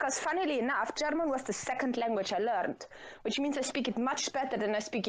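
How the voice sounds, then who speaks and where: Noticeable background noise surrounds a woman speaking at a very fast pace. Her voice is high, with ordinary pitch variation. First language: Dutch. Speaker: podcast guest. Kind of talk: casual chat.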